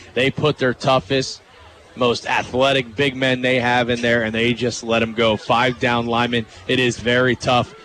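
The voice is monotone and flat, with very even loudness. Noticeable background noise runs underneath. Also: man, medium pitch for a man, moderate pace. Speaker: color commentator. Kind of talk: live sports analysis. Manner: conversational, emphatic analysis.

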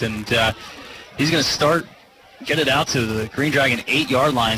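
Fairly quick, animated speech from a man, with noticeable background noise. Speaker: color commentator. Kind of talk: live sports color commentary, analysis between plays. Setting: stadium broadcast booth. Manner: conversational, animated, chatty analyst.

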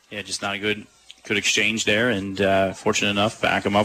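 A man talks at a fairly quick pace, fairly low in pitch, in a relaxed tone. Noticeable background noise is present. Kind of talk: live sports commentary. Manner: conversational analyst, relaxed, filler-heavy.

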